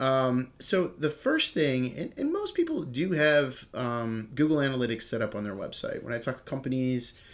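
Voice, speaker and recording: A man with a Cleveland accent, moderate pace, ordinary pitch variation and hardly any pauses. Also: medium pitch for a man. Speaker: digital marketing trainer. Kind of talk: tutorial. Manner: casual, filler-heavy.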